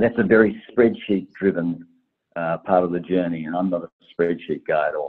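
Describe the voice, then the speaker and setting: A man speaks in a very deep, low pitch. His intonation stays fairly even. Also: moderate pace. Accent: Australian. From Tasmania, Australia. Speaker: travel startup founder and investor. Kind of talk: podcast interview.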